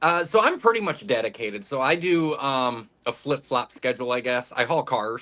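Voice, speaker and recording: Loud male speech with an American accent, fairly high in pitch and bright and sharp in tone, at a moderate pace with lively intonation. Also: hardly any pauses. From Ohio, Toledo. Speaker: truck driver. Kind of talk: casual chat.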